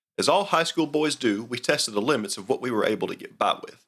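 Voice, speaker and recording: With a strong Southern accent, the speaker has a bright, sharp tone and lively intonation on a very clean recording with a silent background. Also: man. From US South. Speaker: outdoors podcast host. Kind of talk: scripted narration.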